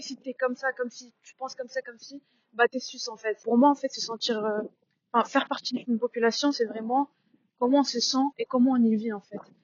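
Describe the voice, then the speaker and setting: A woman's high-pitched voice at a very fast pace. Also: big swings in loudness. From Switzerland, Sion (Valais). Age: young. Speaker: documentary interviewee. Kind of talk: interview.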